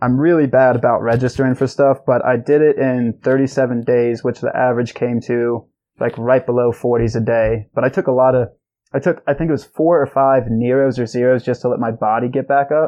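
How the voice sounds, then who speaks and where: The voice moves at a moderate pace. It is an ordinary speaking voice, with fairly even intonation. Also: man, medium pitch for a man. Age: 20s. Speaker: long-distance hiker. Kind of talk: casual chat.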